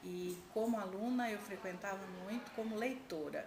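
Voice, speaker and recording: A woman's voice at a fairly slow pace with ordinary pitch variation, plus audible room echo and noticeable background noise. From Brazil, interior of São Paulo state. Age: 60s. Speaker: education administrator, former teacher. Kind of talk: interview.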